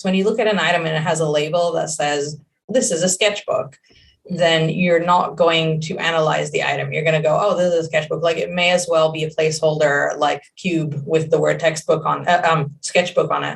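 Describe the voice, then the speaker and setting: A woman with a fairly low pitch speaks at a fairly quick pace, somewhat breathy, her intonation fairly even. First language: Hebrew. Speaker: game creative director. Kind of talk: interview. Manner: halting.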